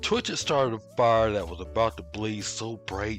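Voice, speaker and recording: A man talks at a moderate pace with fairly low pitch. Music plays in the background. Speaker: commentary YouTuber. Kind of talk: scripted commentary narration. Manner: sarcastic, humorous.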